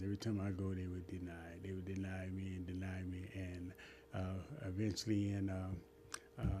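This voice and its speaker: Somewhat breathy and dark, mellow in tone, this man's voice sits very deep and low in pitch. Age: 60s. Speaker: former prisoner telling his life story. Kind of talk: interview. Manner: halting.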